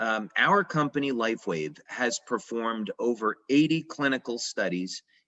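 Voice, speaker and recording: Speaking at a fairly slow pace, a man of medium pitch uses lively intonation. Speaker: company founder presenting to practitioners. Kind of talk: lecture. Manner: hesitant, many filler words.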